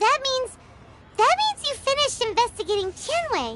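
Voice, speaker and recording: An extremely high, squeaky, put-on character voice. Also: moderate pace. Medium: video game. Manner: excitable, quick.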